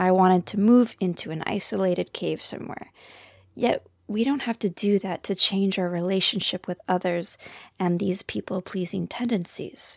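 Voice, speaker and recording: A woman with a Canadian accent uses an ordinary speaking voice at medium pitch, with fairly even intonation and a moderate pace, in a very clean recording with a silent background. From Canada. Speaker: counselor and podcast host. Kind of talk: monologue podcast talk.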